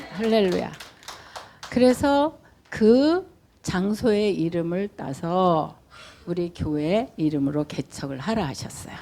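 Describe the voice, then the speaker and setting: A woman speaks very slowly at medium pitch, with long, frequent pauses. Her dark, mellow tone moves through very wide pitch swings. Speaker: pastor. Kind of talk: sermon. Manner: pauses for interpreter.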